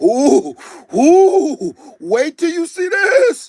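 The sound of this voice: A put-on character voice, extremely high in pitch, with an excited tone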